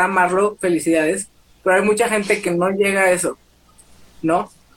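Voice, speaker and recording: A woman is speaking with ordinary pitch variation. Noticeable background noise runs behind her. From Mexico, Torreón, Coahuila. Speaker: plus-size model and activist. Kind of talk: casual interview chat. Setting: Instagram live video stream.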